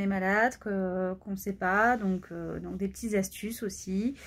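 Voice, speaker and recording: The recording is very clean with a silent background as a woman speaks at a fairly slow pace. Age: 20s. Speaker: pediatric nurse and cancer patient vlogger. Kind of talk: personal vlog testimony. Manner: hesitant, many fillers.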